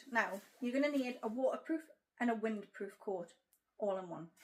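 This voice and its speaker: A woman's high voice with a Geordie accent, ordinary pitch variation and a moderate pace. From Newcastle, North East England. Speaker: travel vlogger. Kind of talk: casual talk to camera.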